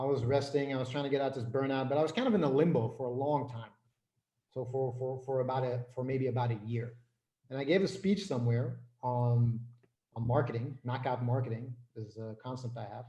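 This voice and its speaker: A man with an American accent speaks at a medium pitch and a fairly quick pace, his intonation fairly even. His tone is dark and mellow and somewhat breathy, with audible room echo. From Flanders, Belgium. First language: Dutch. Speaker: business and life coach. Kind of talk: interview.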